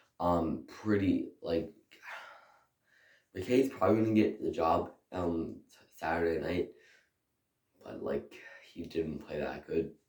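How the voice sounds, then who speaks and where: Speaking at a very slow pace with long, frequent pauses, a man uses a very deep, low pitch, a somewhat breathy voice and lively intonation. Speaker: hockey YouTuber. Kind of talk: casual hockey game review to camera.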